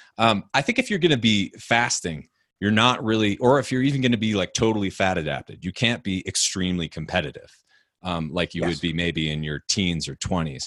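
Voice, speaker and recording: Here is a normal speaking voice: a man with a fairly low pitch and lively intonation, moving at a fairly quick pace. The sound is dry and close with no echo, over a quiet background. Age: 30s. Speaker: author and podcast host, guest. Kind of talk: interview.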